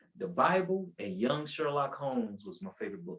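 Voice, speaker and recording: Talking at a fairly quick pace, a man shows very wide pitch swings. He speaks with a North Carolina accent. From US South, Asheville, North Carolina. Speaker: preacher. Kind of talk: testimony. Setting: podcast interview.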